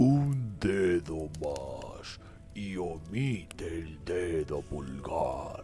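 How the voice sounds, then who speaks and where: Growling, rumbling and croaky, a man does a put-on character voice at a very slow pace with clear music in the background. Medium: read story.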